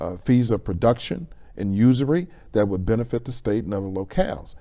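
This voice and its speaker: A man speaks at a moderate pace with an American accent. His tone is dark and mellow, with ordinary pitch variation. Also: very clean recording, silent background. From Chicago area, Illinois. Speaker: economic development consultant. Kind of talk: interview.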